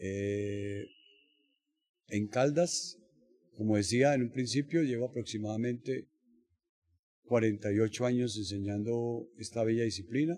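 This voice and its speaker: At a fairly slow pace broken by long, frequent pauses, a man speaks in a dark, mellow tone at medium pitch with ordinary pitch variation. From Colombia, Bogotá. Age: 70s. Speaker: judo coach. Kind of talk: interview. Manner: halting, many fillers.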